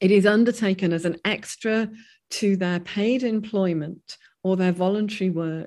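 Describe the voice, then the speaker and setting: This woman has an ordinary speaking voice with a fairly low pitch. The background is quiet. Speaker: professor. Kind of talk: interview discussion.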